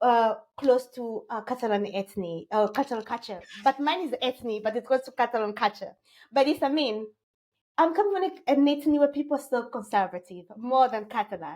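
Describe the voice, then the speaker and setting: A high-pitched woman's voice with a French accent, lively intonation and a fairly quick pace. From DR Congo. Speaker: tech entrepreneur. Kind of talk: interview. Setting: podcast. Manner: halting.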